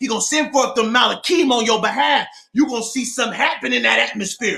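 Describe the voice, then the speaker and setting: Shouting in a raised, projected voice, a man sounds animated, his pitch extremely high with ordinary pitch variation. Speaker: preacher. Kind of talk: sermon.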